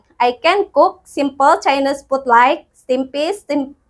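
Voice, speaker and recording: A high-pitched woman's voice with an Indonesian accent at a fairly slow pace. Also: quiet background. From Indonesia, West Java. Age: 30s. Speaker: domestic helper applicant. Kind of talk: self-introduction video. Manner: formal. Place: empty room. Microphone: lapel.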